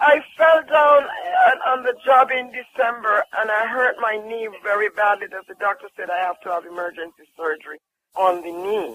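A man with a Jamaican accent speaks at a moderate pace in a high voice, his intonation lively and his loudness rising and falling sharply. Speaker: caller, hotel worker giving a testimonial. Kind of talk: testimony.

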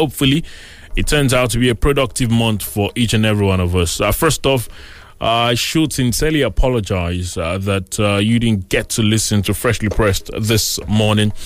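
At a moderate pace, a man with a medium-pitched, plain, everyday voice talks with ordinary pitch variation and very even loudness. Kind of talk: radio DJ patter with show opening and news headlines, station greeting and date and time. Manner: warm, upbeat, welcoming, fluent.

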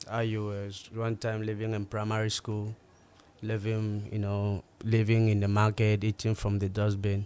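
A man speaks at a fairly low pitch in a monotone, flat delivery. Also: moderate pace. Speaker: musician, concert organiser. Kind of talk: casual interview chat.

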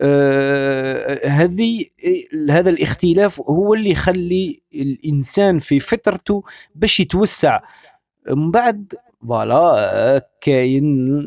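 Here a man with a high voice speaks in an Algerian accent. His pace is very slow and his loudness very even. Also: lively intonation, dry, close sound with no echo. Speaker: online radio host. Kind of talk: radio talk show monologue. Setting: online radio broadcast.

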